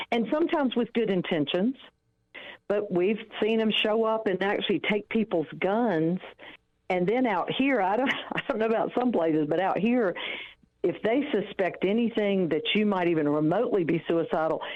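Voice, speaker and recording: A Southern US accent with lively intonation, a moderate pace and very even loudness. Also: woman, medium pitch for a woman. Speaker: ex-wife of a law enforcement agent, counselor. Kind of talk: interview.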